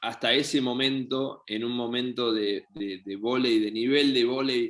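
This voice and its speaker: With an Argentine accent, a man speaks in fairly even intonation. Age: 30s. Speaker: professional volleyball player. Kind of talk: interview. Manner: hesitant, many fillers.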